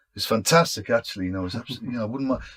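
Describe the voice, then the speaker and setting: A man talks with lively intonation and a somewhat breathy sound. The recording is very clean, with a silent background. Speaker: impressionist, audiobook narrator. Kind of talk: interview answer.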